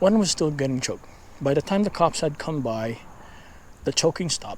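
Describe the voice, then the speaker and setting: A man speaks quietly at a fairly high pitch. His intonation is lively. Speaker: paranormal YouTuber. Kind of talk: casual storytelling while walking. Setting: outdoors, neighborhood street at night. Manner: hushed, quiet.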